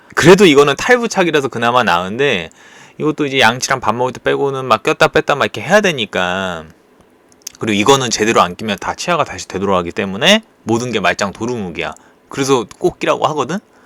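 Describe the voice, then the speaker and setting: This man's voice has a medium pitch and a bright, sharp tone, with very wide pitch swings at a very fast pace. The sound is dry and close, with no echo. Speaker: YouTuber sharing personal experience. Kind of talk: casual vlog monologue. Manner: informal, conversational.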